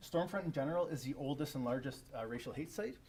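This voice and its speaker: Audible room echo surrounds a somewhat breathy voice delivered at a very fast pace with ordinary pitch variation. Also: man. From Canada. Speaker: academic researcher. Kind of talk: conference presentation. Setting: symposium room with live audience. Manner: casual with many fillers.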